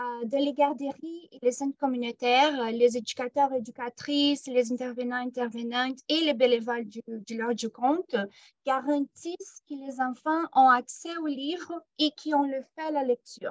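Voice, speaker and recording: A woman with a non-native accent speaks at a high pitch and a fairly slow pace. Her loudness swings a lot. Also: ordinary pitch variation. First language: not French (speaking French). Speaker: program manager. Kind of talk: workshop presentation. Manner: hesitant, many filler sounds.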